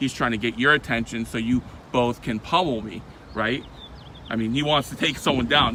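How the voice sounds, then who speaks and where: A man's animated, medium-pitched voice at a fairly quick pace, over noticeable background noise. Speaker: first amendment auditor. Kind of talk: heated confrontation. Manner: loud.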